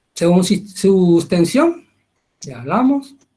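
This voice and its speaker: A man's high, dark, mellow voice with very wide pitch swings. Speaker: medical lecturer. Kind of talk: lecture.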